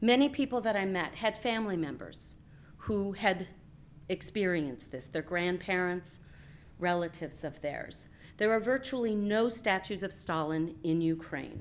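This woman speaks at a moderate pace. Her intonation is lively. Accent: American. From Alaska. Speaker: Peace Corps volunteer and English teacher. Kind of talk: public talk with slideshow. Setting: stage with audience. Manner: hesitant with frequent ums. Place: hall.

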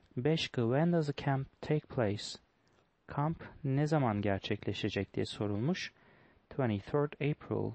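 Ordinary pitch variation runs through a man's speech at a very slow pace. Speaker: English teacher solving test questions. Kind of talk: tutorial.

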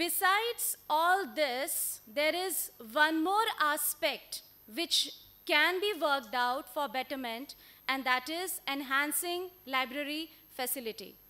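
Raising and projecting her voice, a woman speaks very slowly with lively intonation and a bright, sharp tone. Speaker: presenter. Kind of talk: conference presentation. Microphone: podium.

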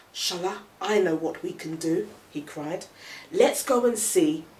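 Someone is reading aloud in a natural voice. The delivery stays close to ordinary speech.

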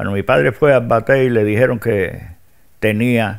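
Over a very clean recording with a silent background, a man speaks at a very slow pace. His pitch varies in an ordinary way. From Cuba, rural Havana province. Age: 80s+. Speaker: former political prisoner. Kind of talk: interview testimony.

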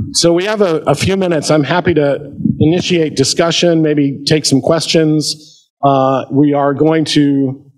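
Against a quiet background, a man with an American accent uses an ordinary speaking voice at a fairly high pitch with ordinary pitch variation. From US Midwest, Ohio. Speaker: history professor. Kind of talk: lecture. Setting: stage with audience. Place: hall.

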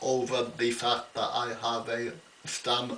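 A man's medium-pitched voice comes through with noticeable noise in the background. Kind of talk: casual talk to camera. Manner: slow, halting.

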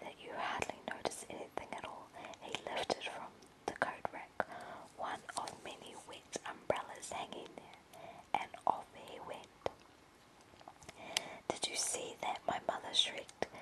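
With long, frequent pauses, someone whispers at a fairly slow pace against noticeable background noise. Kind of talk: audiobook-style narration of a short story, first-person boy narrator. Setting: lying in bed at home, webcam-style recording. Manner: whispered.

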